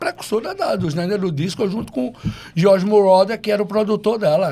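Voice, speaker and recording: Noticeable background noise sits behind a man's voice. He speaks at a moderate pace with a high pitch. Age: 60s. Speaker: DJ. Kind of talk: casual chat.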